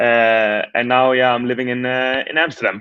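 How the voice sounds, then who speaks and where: This man has a Danish accent and a medium pitch. His intonation is fairly even and his pace is moderate. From Denmark. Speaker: startup founder. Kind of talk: casual interview.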